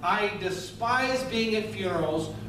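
Noticeable background noise and audible room echo accompany a man speaking. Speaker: pastor. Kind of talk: sermon. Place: church.

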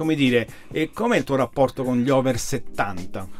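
A medium-pitched man with lively intonation and faint background noise. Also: moderate pace.

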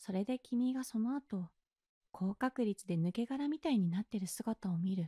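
A woman with a dark, mellow tone speaks with lively intonation in a dry, close sound with no echo. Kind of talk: ASMR role-play, whispered comforting girlfriend-style sleep aid with guided relaxation. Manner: soft, gentle, soothing whisper with a slow, coaxing pace; affectionate and teasing, with occasional light laughs.

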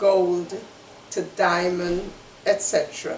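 Amid light background noise and audible room echo, a woman speaks at a very slow pace. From Guyana. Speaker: human rights activist and community association member. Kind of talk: educational presentation. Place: home room. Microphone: webcam.

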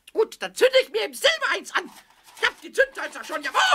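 A man puts on a character voice at an extremely high pitch. He talks at a very fast pace. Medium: audio drama. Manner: excited, cheeky, stuttering.

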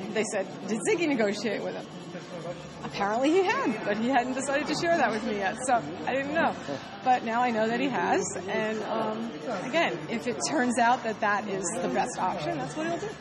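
Crowd noise fills the background. Over it, a woman speaks at a fairly quick pace. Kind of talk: interview answer. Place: gym.

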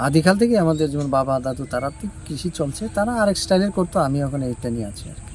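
A man at a fairly high pitch with very wide pitch swings, music in the background. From Tripura, India. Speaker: vegetable farmer. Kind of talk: interview.

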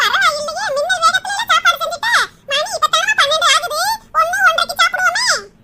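A woman performs a cartoonish character voice at an extremely high pitch. Her pitch swings very widely at a moderate pace.

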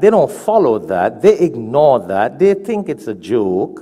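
A man talks fairly slowly, with little sound behind him. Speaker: religious teacher. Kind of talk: sermon. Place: church. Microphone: lapel.

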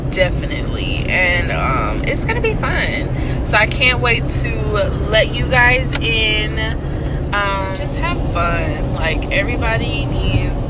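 With music in the background, a woman speaks at a very slow pace in a dry sound with no echo. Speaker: vlogger. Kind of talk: casual vlog chat. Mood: excited, upbeat. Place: car. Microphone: phone near.

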